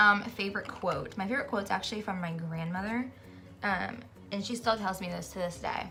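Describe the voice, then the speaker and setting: A woman's animated, medium-pitched voice at a fairly quick pace, with audible room echo and noticeable background noise. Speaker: beauty vlogger. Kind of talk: casual chat. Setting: bedroom. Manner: fast.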